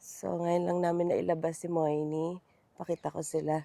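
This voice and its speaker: At a moderate pace, a woman speaks with a dark, mellow tone and fairly low pitch in a dry, close sound with no echo. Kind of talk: casual vlog narration.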